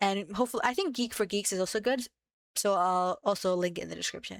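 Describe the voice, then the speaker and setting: On a very clean recording with a silent background, a woman speaks at a medium pitch in a dry, close sound with no echo. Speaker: coding tutorial youtuber. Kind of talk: tutorial. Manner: halting, with fillers and self-corrections; casual.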